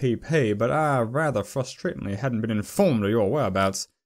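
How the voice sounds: The speaker uses a natural reading voice. That voice carries the whole clip.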